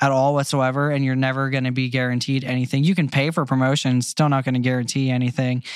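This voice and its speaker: The speech comes at a very fast pace with hardly any pauses. The recording is very clean, with a silent background. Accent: American. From Pennsylvania, US. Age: 20s. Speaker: acoustic pop musician. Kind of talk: casual chat.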